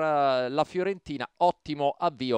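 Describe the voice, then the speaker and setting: A man at a fairly slow pace, recorded with a dry, close sound with no echo against a quiet background. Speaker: match commentator. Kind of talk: live sports commentary.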